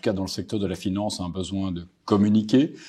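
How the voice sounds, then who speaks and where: Over a quiet background, a man speaks very fast in a fairly low pitch with a dark, mellow tone. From Belgium, Brussels. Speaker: market strategist. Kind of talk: interview. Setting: bank office in Paris.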